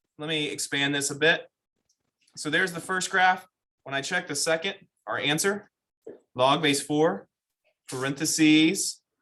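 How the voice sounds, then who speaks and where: With a bright, sharp tone, a man talks at a fairly high pitch and a moderate pace. His pitch variation is ordinary, and he takes long, frequent pauses. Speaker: math teacher. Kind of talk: classroom lecture. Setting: classroom with students. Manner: conversational, interactive.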